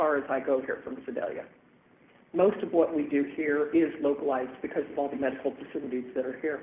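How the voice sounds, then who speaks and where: The voice moves at a fairly quick pace with ordinary pitch variation. Audible room echo surrounds it. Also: man. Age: 60s. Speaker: transit agency director presenting to city council. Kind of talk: public presentation at council meeting. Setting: city council meeting.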